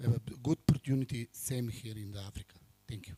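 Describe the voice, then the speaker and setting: A man with a non-native accent speaks in a dark, mellow, somewhat breathy tone, the sound dry and close with no echo. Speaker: foreign businessman. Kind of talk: formal address. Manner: halting.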